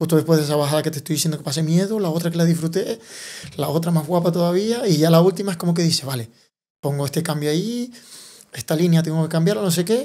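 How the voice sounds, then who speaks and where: A man's voice of fairly high pitch, dark, mellow tone and ordinary pitch variation. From Tenerife, Canary Islands, Spain. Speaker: enduro and downhill mountain bike racer. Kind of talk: interview answer. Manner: cheerful, with contagious laughter.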